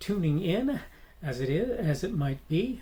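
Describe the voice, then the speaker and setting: With an American accent, a man speaks in a dark, mellow tone. His voice is somewhat breathy. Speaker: podcast host. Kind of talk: solo commentary podcast. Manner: halting, many fillers and restarts.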